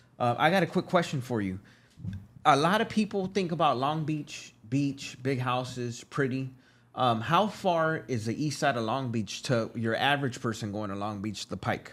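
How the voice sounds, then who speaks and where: A man with a plain, everyday voice speaks in an American accent at a moderate pace and medium pitch, with lively intonation. The recording is very clean, with a silent background. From West Los Angeles. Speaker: podcast co-host. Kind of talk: casual interview chat.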